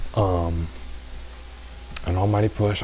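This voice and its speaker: A man speaks over noticeable background noise. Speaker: gaming streamer. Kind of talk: live stream commentary. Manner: soft-spoken, whispering.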